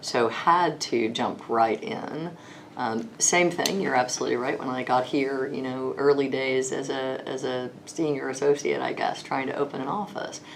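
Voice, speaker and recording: With a Texas accent, a woman with a very deep, low pitch speaks at a moderate pace with ordinary pitch variation, over audible room echo and noticeable background noise. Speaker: lawyer. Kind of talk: interview. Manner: hesitant, many fillers.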